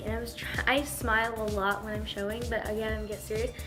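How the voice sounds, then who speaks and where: Music plays behind the speech. The speaker is a woman. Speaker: dog show handler. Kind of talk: casual story time talk to camera.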